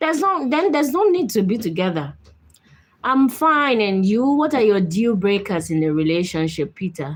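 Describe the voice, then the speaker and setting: With a Nigerian accent, a woman speaks at a fairly high pitch. Her voice moves through very wide pitch swings. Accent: Nigerian, noticeable. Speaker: live-stream host. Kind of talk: live stream chat with viewers. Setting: live video stream. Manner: speaking gently and slowly to be understood.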